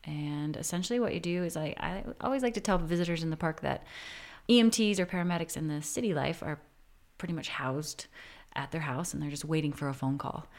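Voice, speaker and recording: A woman's fairly low voice, an ordinary speaking voice, with ordinary pitch variation. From Minnesota, Twin Cities suburbs. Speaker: professional climber, former climbing ranger. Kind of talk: casual interview. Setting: at her home.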